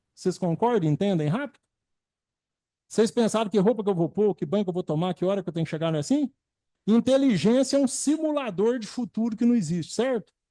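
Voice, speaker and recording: A man's dark, mellow voice at a high pitch with very wide pitch swings. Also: dry, close sound with no echo. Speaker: spiritist lecturer, physician. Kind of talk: lecture. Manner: animated.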